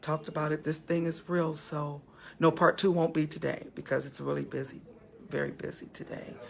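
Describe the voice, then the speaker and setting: The speaker talks at a fairly quick pace with vocal fry. The intonation is monotone and flat. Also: woman, very deep, low pitch for a woman. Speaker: talk show host. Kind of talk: live show wrap-up. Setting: funeral home holding room, on location. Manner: speaking very low; hesitant, many fillers.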